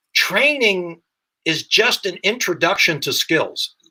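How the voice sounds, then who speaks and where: A man with an American accent uses a raised, projected voice with a bright, sharp tone. His pitch is high and his intonation lively. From US Midwest, Dayton, Ohio. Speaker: firearms instructor. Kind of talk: podcast interview.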